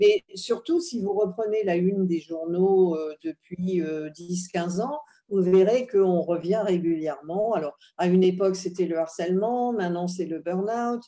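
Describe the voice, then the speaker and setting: At a fairly slow pace, a woman speaks in a dark, mellow tone. Her pitch sits in the medium range. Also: ordinary pitch variation. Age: 70s. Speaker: psychoanalyst and psychologist. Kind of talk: interview.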